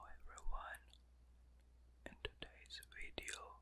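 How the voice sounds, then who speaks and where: A soft-spoken man, whispering. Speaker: ASMR creator. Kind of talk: ASMR trigger words whispering. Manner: whispered, soft-spoken.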